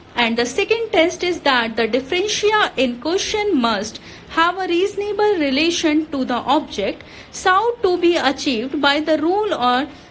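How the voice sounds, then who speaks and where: A woman speaks at an extremely high pitch with very wide pitch swings. Noticeable background noise is present. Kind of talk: shorthand dictation read. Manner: steady, measured pace.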